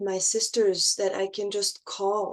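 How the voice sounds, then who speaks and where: A woman speaks at a very slow pace with a non-native accent. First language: not English. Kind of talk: casual conversation. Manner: halting, many restarts.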